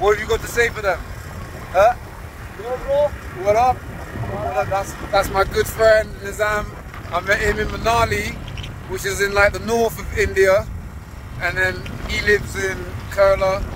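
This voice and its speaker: Over noticeable background noise, a man with a London accent speaks at a fairly slow pace with long, frequent pauses, in a dry sound with no echo. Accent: British, London. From UK. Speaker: travel vlogger. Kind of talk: vlog narration. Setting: outdoors. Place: motorbike. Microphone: phone near.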